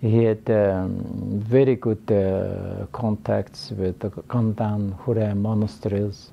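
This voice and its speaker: A man with a Mongolian accent, fairly low in pitch, at a very slow pace with fairly even intonation. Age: 80s+. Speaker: professor. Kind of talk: interview. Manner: halting.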